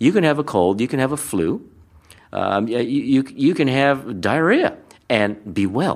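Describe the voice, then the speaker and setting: A man with an American accent speaks at a moderate pace in a medium pitch, with very wide pitch swings and vocal fry. The recording is very clean, with a silent background. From Hawaii. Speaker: speaker and former magician. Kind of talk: interview. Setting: conference venue.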